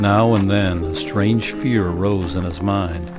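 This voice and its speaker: Music plays in the background. Over it, a man speaks at a fairly low pitch. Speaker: audiobook narrator. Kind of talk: horror story narration.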